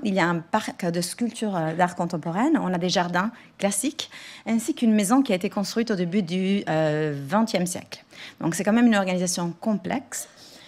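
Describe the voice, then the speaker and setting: Lively intonation marks this woman's somewhat breathy voice. She talks at a fairly quick pace. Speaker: museum director and lecturer. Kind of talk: conference talk. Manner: halting.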